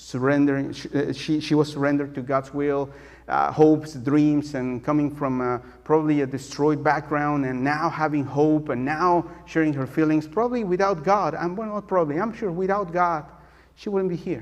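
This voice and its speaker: With a strong Mexican accent, a man speaks at a moderate pace in a fairly high voice with ordinary pitch variation, and room echo is audible. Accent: thick Mexican Spanish. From Mexico City. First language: Spanish. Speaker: guest preacher. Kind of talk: sermon. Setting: church. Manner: halting, many fillers.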